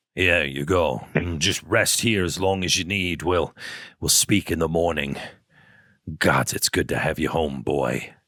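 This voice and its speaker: On a very clean recording with a silent background, a put-on character voice comes through raspy. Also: man, very deep, low pitch for a man, moderate pace, ordinary pitch variation. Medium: actual play. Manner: gruff, affectionate.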